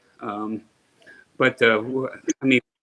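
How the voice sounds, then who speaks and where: A man talks at a moderate pace with a New Jersey accent. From New Jersey, Paterson. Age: 50s. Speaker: guest on live stream. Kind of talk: casual chat. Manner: halting.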